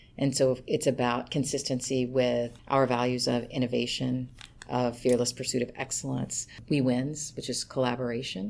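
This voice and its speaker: A woman talks with vocal fry and a very deep, low pitch in an American accent. Her pace is moderate and her intonation monotone and flat. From Kentucky, US South. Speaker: HR executive. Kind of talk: interview. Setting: office.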